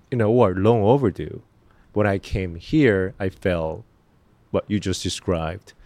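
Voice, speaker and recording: This man has a Korean accent and a fairly low pitch with ordinary pitch variation. His tone is dark and mellow, and he speaks at a fairly slow pace. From Korea, raised in New Jersey. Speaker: actor. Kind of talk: casual chat. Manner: halting.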